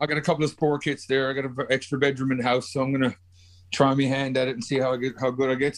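A man with a Newfoundland accent speaks at a very fast pace and a medium pitch. His intonation is monotone and flat, on a very clean recording with a silent background. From Newfoundland, Canada. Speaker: podcast guest. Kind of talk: casual chat.

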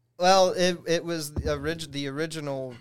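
A man talks in a plain, everyday voice. His pace is moderate and his pitch variation ordinary. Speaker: rock drummer. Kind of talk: casual chat.

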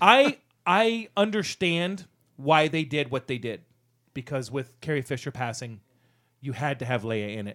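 On a very clean recording with a silent background, a man with a fairly high pitch talks at a moderate pace, making very wide pitch swings and long, frequent pauses. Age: 40s. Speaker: podcast co-host. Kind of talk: casual chat. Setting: studio.

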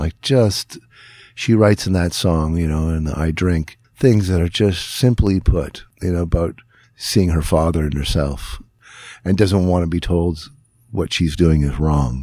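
A man with a northern Ontario accent speaks at a very deep, low pitch with a dark, mellow tone and ordinary pitch variation. The recording is very clean, with a silent background. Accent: Canadian (northern Ontario). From northern Ontario, Canada. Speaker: guitarist and singer. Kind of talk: casual interview. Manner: halting, many fillers and restarts.

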